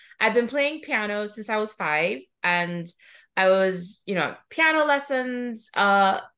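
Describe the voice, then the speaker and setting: A woman with a Trinidadian accent, medium pitch, lively intonation, and a bright, sharp tone at a fairly slow pace. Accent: Trinidadian Caribbean. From Trinidad and Tobago. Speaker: music therapist and professor. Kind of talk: podcast interview.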